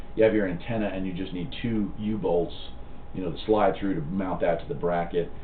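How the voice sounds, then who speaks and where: Lively in intonation, a man talks at a moderate pace with audible room echo. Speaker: CB radio hobbyist and channel host. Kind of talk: live stream chat reading viewer comments. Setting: live stream from home. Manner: casual, halting with fillers.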